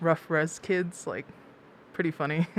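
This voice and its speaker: A fairly quick, fairly low-pitched woman with an American accent and a plain, everyday voice. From Blackfeet Reservation, Montana, US. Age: 20s. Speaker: activist and documentary filmmaker. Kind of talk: casual chat.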